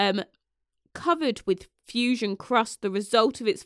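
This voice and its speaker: A woman with a British accent at a fairly slow pace, her intonation lively, on a very clean recording with a silent background and a dry, close sound with no echo. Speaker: podcast host. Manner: sarcastic.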